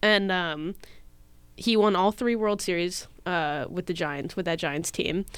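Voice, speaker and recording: A woman's normal speaking voice, medium in pitch with ordinary pitch variation, at a fairly slow pace over a very clean recording with a silent background. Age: 20s. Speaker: podcast guest, baseball fan. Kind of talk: casual chat.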